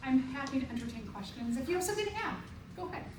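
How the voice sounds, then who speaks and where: High-pitched female voice with audible room echo. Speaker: college biology professor. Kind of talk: lecture. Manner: energetic.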